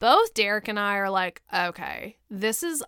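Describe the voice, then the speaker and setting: A woman's medium-pitched voice with an American accent, on a very clean recording with a silent background. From US, small town. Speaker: podcast host. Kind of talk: casual solo chat. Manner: animated.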